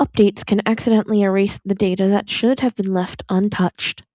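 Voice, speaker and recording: A woman speaks quietly at medium pitch and a fairly quick pace, in a calm, dark, mellow tone. The sound is dry and close, with no echo. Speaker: podfic reader. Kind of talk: fan fiction reading. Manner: quiet, calm.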